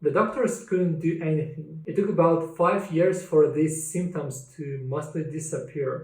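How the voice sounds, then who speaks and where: Speaking with a Russian accent at a fairly slow pace, the voice shows ordinary pitch variation. Audible room echo fills the recording. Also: man, fairly high pitch for a man. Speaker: cancer survivor sharing his story. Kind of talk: personal testimony.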